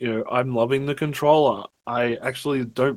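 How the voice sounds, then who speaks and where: With an Australian accent, a man talks at a moderate pace using fairly even intonation. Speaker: gaming podcast co-host. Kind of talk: casual chat.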